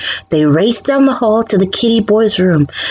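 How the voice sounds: Lively intonation runs through this. It is a natural reading voice.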